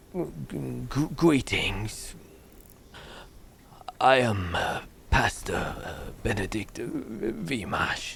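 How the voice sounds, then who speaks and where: A man's put-on character voice, very slow with long, frequent pauses, lively intonation and big swings in loudness over clear background noise. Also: medium pitch for a man. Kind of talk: archaic, formal speech. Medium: actual play. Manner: halting, hesitant, full of pauses.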